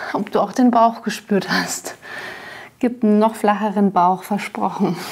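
A woman speaks at a fairly slow pace with fairly even intonation. Her loudness stays very even. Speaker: fitness instructor. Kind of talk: workout instruction. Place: studio.

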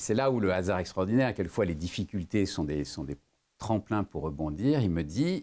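A man speaks at a fairly slow pace in a fairly low pitch with a dark, mellow tone. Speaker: lawyer and former business executive; lawyer. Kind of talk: interview; interview answer. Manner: hesitant, many fillers. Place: meeting room.

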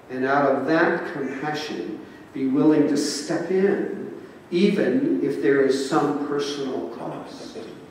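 Speaking very slowly, a man uses a fairly high pitch. Strong room echo and light background noise surround his voice. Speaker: Episcopal bishop. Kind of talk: sermon delivered to a congregation. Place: church.

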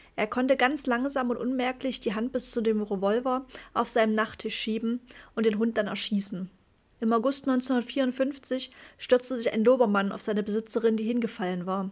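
A woman with an ordinary speaking voice talks at a moderate pace and a fairly high pitch. Her intonation is fairly even over a very clean recording with a silent background. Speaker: audiobook narrator. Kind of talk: audiobook reading of a nonfiction book. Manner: measured, even, serious storytelling pace; formal, sober, matter-of-fact.

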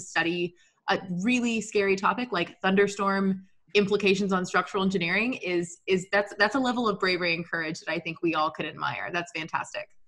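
This is a woman speaking in an American accent. The background is quiet. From Texas. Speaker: podcast co-host and engineer; podcast co-host. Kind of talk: podcast interview. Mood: warm, encouraging. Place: home room. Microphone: video call.

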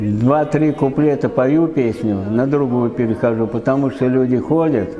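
The pace is fairly slow, with ordinary pitch variation. Music plays in the background. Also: man. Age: 70s. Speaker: street accordion player. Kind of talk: interview answer. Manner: casual, plain-spoken.

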